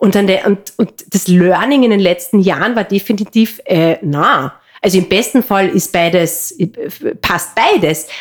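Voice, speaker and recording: In a Carinthian accent, a woman speaks at a fairly slow pace and a medium pitch, with ordinary pitch variation and very even loudness. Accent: Carinthian Austrian German. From Austria, Carinthia. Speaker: entrepreneur and mother. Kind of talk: casual interview. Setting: in person at guest's home region. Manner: hesitant, many fillers.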